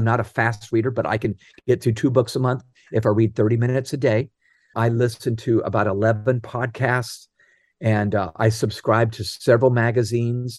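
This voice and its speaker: This man talks at a fairly quick pace and a medium pitch. His intonation is flat and monotone, against a quiet background. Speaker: author and leadership speaker. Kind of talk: interview.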